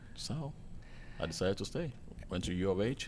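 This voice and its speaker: A man with a Nigerian accent speaks at a moderate pace with lively intonation. Audible room echo surrounds the voice. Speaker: hotel chef. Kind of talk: casual interview.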